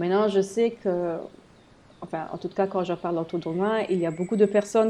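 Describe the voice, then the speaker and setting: A woman with a German accent speaks at a medium pitch in a dark, mellow tone with fairly even intonation. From eastern Belgium, German-speaking area. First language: German (speaking French). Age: 30s. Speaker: health blogger. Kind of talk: solo podcast monologue. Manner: hesitant, many fillers.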